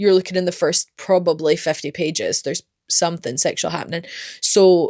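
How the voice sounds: Recorded with a dry, close sound and no echo, a woman speaks at a fairly low pitch and a moderate pace, with a slightly mellow tone and fairly even intonation. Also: very clean recording, silent background.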